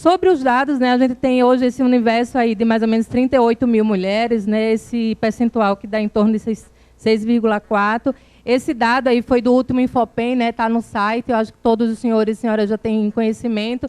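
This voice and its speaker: A woman with a northeastern Brazilian accent, fairly quick and with hardly any pauses, her intonation fairly even but her loudness swinging widely, in a dry, close sound with no echo. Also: fairly high pitch for a woman. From Brazil, Northeast (Alagoas). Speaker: government program coordinator. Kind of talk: conference talk. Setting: conference with audience. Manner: informal, conversational.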